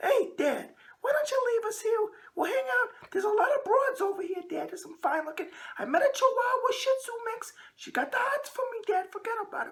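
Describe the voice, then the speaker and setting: A woman speaks in a put-on character voice. Her pitch is extremely high and her pace fairly quick. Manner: swaggering, gangster-like.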